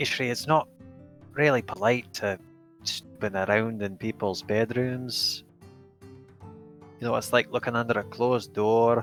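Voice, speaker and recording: Putting on a character voice, a man mumbles at a medium pitch and a moderate pace, with long, frequent pauses, fairly even intonation, and faint music in the background. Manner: muttering, low, mumbled.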